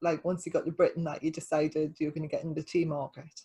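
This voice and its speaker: A woman's voice sounds dark and mellow, and somewhat breathy. The recording is very clean, with a silent background. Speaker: podcast host and dog trainer. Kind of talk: casual chat. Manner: eager, interrupting.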